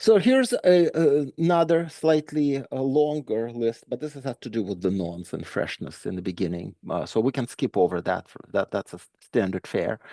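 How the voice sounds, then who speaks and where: A man at medium pitch with a dark, mellow tone, very wide pitch swings and hardly any pauses, in a dry, close sound with no echo and a quiet background. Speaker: conference speaker. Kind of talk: technical presentation. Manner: fast; frequent fillers and repetitions.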